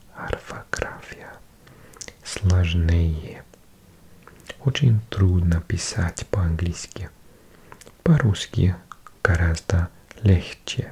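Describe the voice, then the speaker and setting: Whispering very slowly with long, frequent pauses, the speaker is heard over noticeable background noise. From Wales. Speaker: ASMR creator. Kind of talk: ASMR language-learning read. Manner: whispered; soft-spoken.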